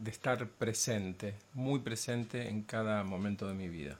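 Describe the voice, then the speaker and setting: The pace is fairly slow. The intonation stays fairly even. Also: man. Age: 50s. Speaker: patient giving testimony. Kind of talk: testimony. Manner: hesitant with fillers.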